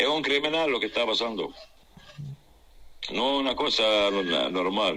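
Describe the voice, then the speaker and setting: A man talks at a medium pitch and a fairly slow pace, with lively intonation and very even loudness. Long, frequent pauses break up his speech, and noticeable background noise sits behind him. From Gaza Strip. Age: 60s. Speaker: civil engineer and humanitarian worker. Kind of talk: interview. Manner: halting.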